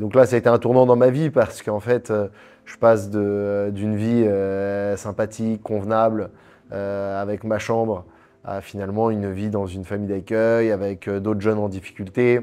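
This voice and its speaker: Flat, monotone male voice, fairly low in pitch, at a moderate pace over music in the background. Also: big swings in loudness. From Paris, France. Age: 30s. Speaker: entrepreneur. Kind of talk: interview.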